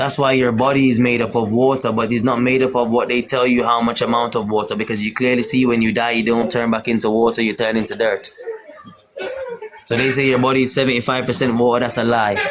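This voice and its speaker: Amid noticeable background noise, a man talks at a very fast pace with a medium pitch and very even loudness. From Jamaica. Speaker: spiritual talk show host. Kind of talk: religious teaching in casual live chat. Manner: halting, repeats words.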